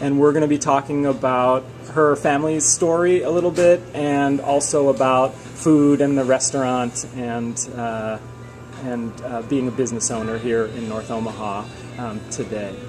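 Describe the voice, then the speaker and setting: A man's medium-pitched voice over background music. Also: ordinary pitch variation, moderate pace. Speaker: history professor. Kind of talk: oral history interview questions.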